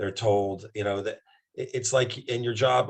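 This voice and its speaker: Somewhat breathy, a man's medium-pitched voice holds fairly even intonation. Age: 60s. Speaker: doctor promoting a wellness product. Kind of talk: casual interview chat.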